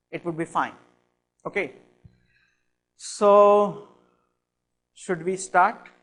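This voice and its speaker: A man with an Indian accent, high-pitched and fairly even in intonation, at a very slow pace with long, frequent pauses. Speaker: cognitive science lecturer. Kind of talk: lecture. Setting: classroom with audience.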